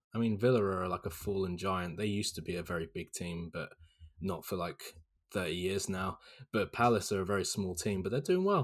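Pitched fairly low, this man's voice moves at a moderate pace. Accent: southern English. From southern England, Hampshire. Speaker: guest, student. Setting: remote call from the UK, night.

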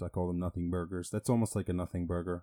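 In an Irish accent, a man speaks with a very deep, low pitch and a dark, mellow tone, captured dry and close with no echo in a very clean recording with a silent background. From Ireland, rural small town. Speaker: podcaster. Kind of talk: casual monologue. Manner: halting, filler-heavy.

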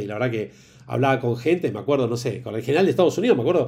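A man with a Rioplatense accent and a dark, mellow, somewhat breathy tone, full of lively intonation. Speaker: HR consultant and executive coach. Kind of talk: casual interview.

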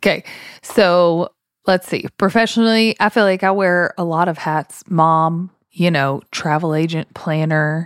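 A woman with an unremarkable speaking voice talks at a fairly slow pace, fairly low in pitch and fairly even in intonation, in a very clean recording with a silent background and a dry, close sound with no echo. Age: 30s. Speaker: podcast co-host, former teacher. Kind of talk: casual chat.

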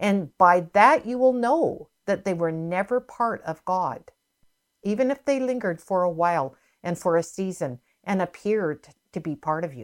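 The pace here is moderate, with lively intonation. It is a normal speaking voice. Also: woman, medium pitch for a woman. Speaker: minister. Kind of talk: sermon.

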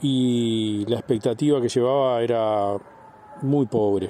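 Man speaking at a fairly slow pace with fairly even intonation. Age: 60s. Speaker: patient. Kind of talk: testimony. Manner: halting.

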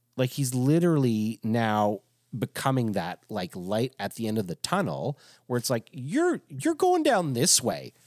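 With a normal speaking voice at a medium pitch, a man talks fairly slowly and with lively intonation, the sound dry and close with no echo. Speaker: pastor. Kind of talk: casual chat.

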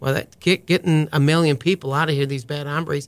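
Here a man with an American accent has an unremarkable speaking voice. He talks at a fairly quick pace with a fairly high pitch. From US Midwest, small-town Wisconsin. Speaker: county sheriff, army veteran. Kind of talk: podcast interview.

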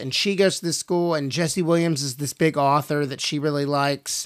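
A man with an unremarkable speaking voice talks at a moderate pace, his pitch fairly high and his intonation fairly even. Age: 40s. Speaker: podcast co-host, actor. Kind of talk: casual chat.

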